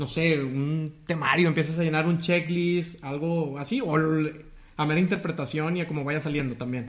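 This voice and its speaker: A man's normal speaking voice, a normal speaking voice pitched fairly high, with fairly even intonation. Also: moderate pace, hardly any pauses. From Tamaulipas, northern Mexico. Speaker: podcast host. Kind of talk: interview.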